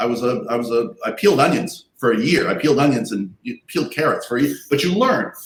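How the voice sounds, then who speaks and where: Somewhat breathy, the voice moves at a fairly quick pace with very wide pitch swings. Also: man. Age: 60s. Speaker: comic creator and publisher. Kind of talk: panel interview.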